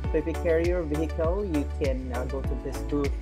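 The speaker keeps a moderate pace with music clearly audible in the background. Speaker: travel vlogger. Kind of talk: casual vlog tour narration. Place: street. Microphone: phone near.

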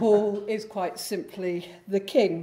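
The voice has a dark, mellow tone. It belongs to a woman. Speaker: host introducing the lecturer. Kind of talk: formal introduction speech. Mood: warm, lightly humorous. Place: hall. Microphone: podium.

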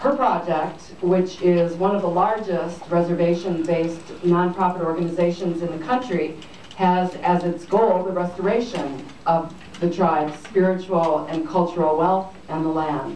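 Audible room echo and light background noise surround a woman speaking at a moderate pace, her fairly low pitch held in fairly even intonation. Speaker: event host introducing speaker. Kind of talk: speaker introduction. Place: hall.

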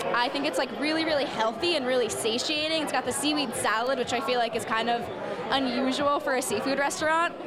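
A woman at a very fast pace, with crowd noise in the background. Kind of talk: interview answer. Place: cafe. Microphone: handheld.

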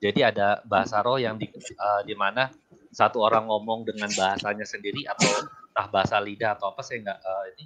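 A man's fairly low voice at a fairly quick pace, with hardly any pauses and monotone, flat intonation. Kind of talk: heated debate. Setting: video call. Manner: argumentative.

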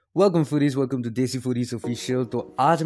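A man is speaking with ordinary pitch variation. Light background noise can be heard. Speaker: food vlogger. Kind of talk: casual vlog narration.

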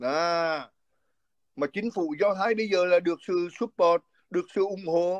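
A man speaks at a high pitch. The background is quiet. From central Vietnam, Quảng Bình; central Vietnam. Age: 60s. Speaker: physician and political commentator; political commentator. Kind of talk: interview. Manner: halting. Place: home room. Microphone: phone near.

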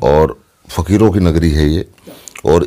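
Against a quiet background, a man speaks in a very deep, low pitch with a dark, mellow tone. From Haryana, Dujana village (Jhajjar); Haryana. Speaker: film actor; actor being interviewed. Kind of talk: interview. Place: home room. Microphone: phone near.

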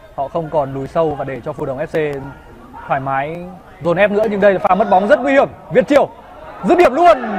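Crowd noise fills the background as a man speaks at a high pitch with very wide pitch swings. His pace is fairly quick, broken by long, frequent pauses. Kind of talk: live sports commentary.

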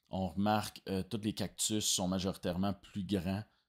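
A man speaks in a very deep, low voice with a Quebec accent. The background is quiet. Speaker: video game design student. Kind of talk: project presentation. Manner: hesitant, many fillers. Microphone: webcam.

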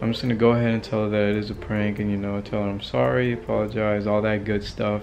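Faint music sits in the background as the speaker goes at a fairly quick pace with ordinary pitch variation. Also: man. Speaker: vlogger. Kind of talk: casual vlog chat. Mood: amused, slightly guilty. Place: home room. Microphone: phone near.

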